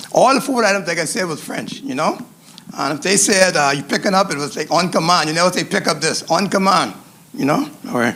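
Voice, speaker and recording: A man's high-pitched voice with lively intonation, amid noticeable background noise. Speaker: chef instructor. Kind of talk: cooking demonstration.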